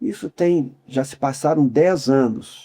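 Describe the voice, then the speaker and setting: At a very slow pace, a man with a fairly high pitch talks with ordinary pitch variation. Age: 60s. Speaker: humanitarian worker and academy member. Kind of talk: interview.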